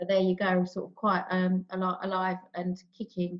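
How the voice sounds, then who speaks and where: Here a woman speaks with a London accent. Her pitch is medium and her pace moderate. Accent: estuary English, London and South East. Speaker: panel guest, PR expert. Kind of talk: panel discussion.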